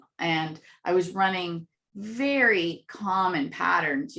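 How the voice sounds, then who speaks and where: Loud and bright with a sharp tone, a woman speaks at a fairly low pitch. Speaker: contest winner and author. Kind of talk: interview. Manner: animated.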